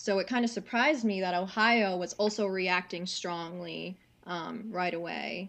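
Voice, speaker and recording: A woman with an American accent has a plain, everyday voice at a medium pitch. She talks at a moderate pace with ordinary pitch variation. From New York State (Cornwall, upstate). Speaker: podcast co-host. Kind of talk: casual podcast chat.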